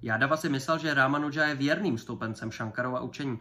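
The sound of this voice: The speaker reads in an unforced reading voice whose pitch shifts in an ordinary way.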